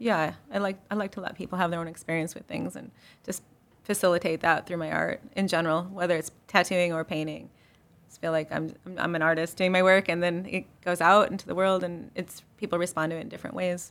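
A woman with an American accent and a plain, everyday voice speaks at a fairly quick pace with a fairly low pitch, fairly even intonation and big swings in loudness. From Chicago. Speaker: tattoo artist and photographer. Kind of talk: interview.

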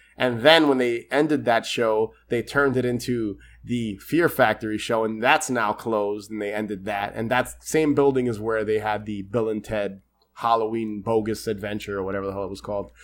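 A man with a normal speaking voice talks at medium pitch and a moderate pace in an American accent. His intonation is fairly even, in a very clean recording with a silent background. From New York. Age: 30s. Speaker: podcast host. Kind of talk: casual chat.

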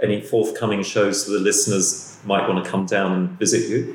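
Noticeable noise sits in the background. The man speaks fairly quickly. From London. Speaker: podcast host. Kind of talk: interview conversation. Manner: halting.

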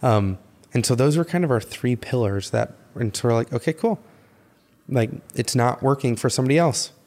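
A man with an ordinary speaking voice and an American accent talks at a medium pitch and a fairly quick pace. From US Midwest, Chicago south suburbs. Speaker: podcast co-host, photographer. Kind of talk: casual chat.

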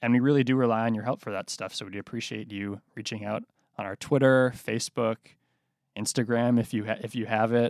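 Dry and close with no echo on a very clean recording with a silent background, a man with an American accent talks at a fairly quick pace and medium pitch in a monotone, flat intonation. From Boston. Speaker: newspaper reporter and podcast host. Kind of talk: casual chat.

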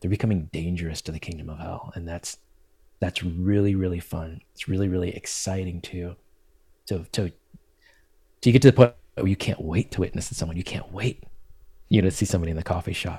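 With a very deep, low pitch and a dark, mellow, somewhat breathy tone, a man speaks fairly quickly in fairly even intonation, leaving long, frequent pauses while his loudness swings widely. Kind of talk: podcast interview. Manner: calm, gentle.

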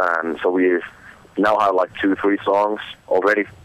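A man speaks in a monotone, flat intonation. Noticeable background noise runs behind him. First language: Finnish. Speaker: metal band musician. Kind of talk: interview. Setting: phone call.

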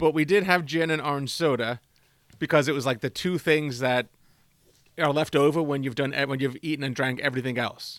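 A man's unremarkable speaking voice, fairly high in pitch with fairly even intonation, in a very clean recording with a silent background. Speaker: quiz master. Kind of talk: casual trivia quiz.

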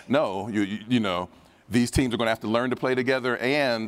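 Recorded very cleanly with a silent background, a man with an American accent and a normal speaking voice talks at a moderate pace and medium pitch with ordinary pitch variation. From US Midwest (Dayton, Ohio). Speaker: sports betting writer and analyst. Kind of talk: conference panel discussion. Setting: stage with audience.

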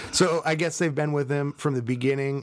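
This is a man's voice. He speaks with a Minnesotan accent. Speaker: podcast co-host.

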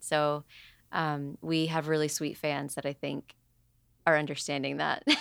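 A woman speaks with a very deep, low pitch. The sound is dry and close with no echo, in a very clean recording with a silent background. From Puerto Rico, raised in Atlanta, US. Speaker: musician. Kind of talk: casual interview.

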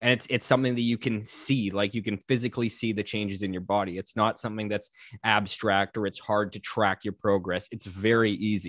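A man with a plain, everyday voice, fairly low in pitch, speaks at a fairly quick pace with hardly any pauses and fairly even intonation, in a dry, close sound with no echo against a quiet background. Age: 30s. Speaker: podcast host. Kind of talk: casual chat.

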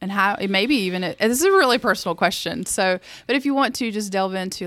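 A woman talks very fast in a Southern US accent, her pitch varying in an ordinary way. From US South. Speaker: co-host.

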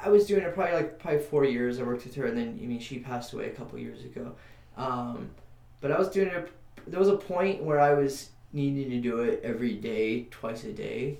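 A man with a fairly high pitch speaks at a fairly quick pace with very wide pitch swings. His loudness swings widely too, and room echo is audible. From New Mexico. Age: 30s. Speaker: musician and Reiki healer. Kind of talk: casual interview. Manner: halting.

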